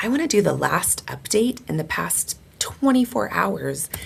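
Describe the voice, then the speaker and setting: Noticeable background noise fills the recording. A woman's delivery moves at a moderate pace. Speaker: teacher. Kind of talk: online course tutorial. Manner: enthusiastic.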